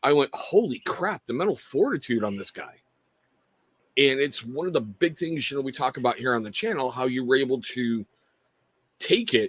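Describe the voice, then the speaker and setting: A man at a medium pitch and moderate pace, with an ordinary speaking voice. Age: 50s. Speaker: show host.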